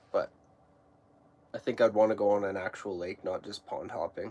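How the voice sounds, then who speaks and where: With noticeable background noise behind him, a man in an Alberta accent speaks at a moderate pace with a fairly low pitch. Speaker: fishing YouTuber. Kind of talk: casual live stream chat. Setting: ice fishing shack.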